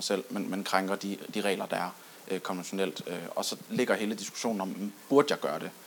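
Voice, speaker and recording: Fairly even intonation runs through speech of moderate speed. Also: man. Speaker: audience member. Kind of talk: audience discussion. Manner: halting.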